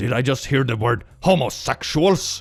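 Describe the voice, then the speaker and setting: A man's put-on character voice at medium pitch, with lively intonation and a moderate pace. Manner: threatening.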